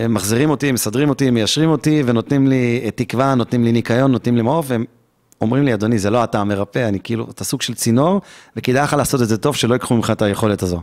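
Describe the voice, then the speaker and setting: The speaker is a man at medium pitch with ordinary pitch variation. He talks at a very fast pace. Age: 40s. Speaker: holistic therapist. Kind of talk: interview. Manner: animated.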